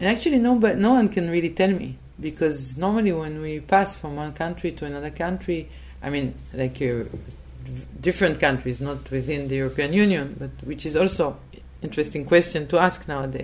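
A woman talks at a fairly quick pace in an Israeli accent, her loudness swinging widely. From Israel, Tel Aviv. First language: Hebrew. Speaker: publisher and political activist. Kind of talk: interview conversation.

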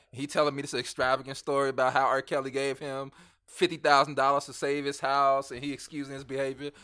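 A man with an American accent talks at a very fast pace in a fairly high pitch, his bright, sharp tone held to a monotone, flat intonation. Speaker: podcast guest. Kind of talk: casual chat.

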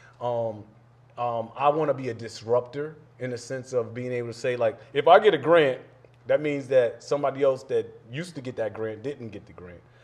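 Noticeable background noise runs behind a man speaking at a fairly quick pace. His medium pitch shows ordinary variation, and his loudness swings a lot. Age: 40s. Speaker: motivational speaker and social worker. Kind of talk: casual chat.

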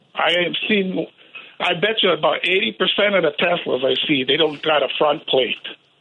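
This man has an American accent and a high-pitched voice, with ordinary pitch variation and very even loudness. He talks at a moderate pace over noticeable background noise. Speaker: caller. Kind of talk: casual chat. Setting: phone call.

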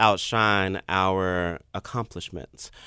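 Speaking with an American accent, a man has a bright, sharp tone in a very clean recording with a silent background. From Memphis, Tennessee. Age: 30s. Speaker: public relations manager. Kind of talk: interview. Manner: fast.

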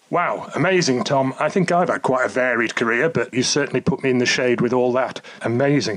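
The speech runs at a fairly quick pace with hardly any pauses, very even loudness and ordinary pitch variation. Noticeable background noise is present. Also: man, medium pitch for a man. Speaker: podcast host. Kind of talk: interview.

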